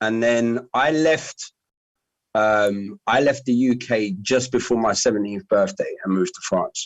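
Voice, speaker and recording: In a London accent, a man of medium pitch speaks at a fairly slow pace with lively intonation and very even loudness. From London, Hammersmith. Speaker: dnb MC. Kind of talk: casual chat.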